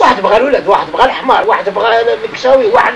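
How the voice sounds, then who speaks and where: This man, with a Moroccan accent, talks at an extremely high pitch with very wide pitch swings. Noticeable background noise runs behind him. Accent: Moroccan Arabic (Darija). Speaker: religious teacher. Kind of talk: informal religious lesson to a seated group.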